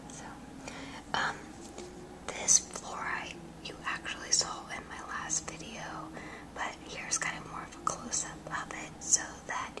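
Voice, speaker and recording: A woman whispering at a fairly slow pace, with long, frequent pauses, big swings in loudness and noticeable background noise. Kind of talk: ASMR show and tell. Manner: whispered; soft-spoken, relaxed.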